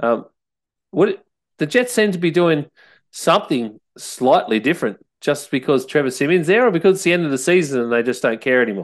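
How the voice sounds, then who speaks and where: Fairly high-pitched man with an Australian accent, fairly quick pace and very wide pitch swings, in a quiet background. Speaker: podcast host. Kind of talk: casual sports chat. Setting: studio.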